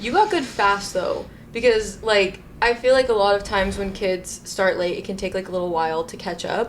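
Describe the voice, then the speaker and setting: Medium-pitched speech from a woman with an American accent, at a moderate pace with ordinary pitch variation, over noticeable background noise. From Arizona, US. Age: 20s. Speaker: ballet photographer. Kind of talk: casual chat.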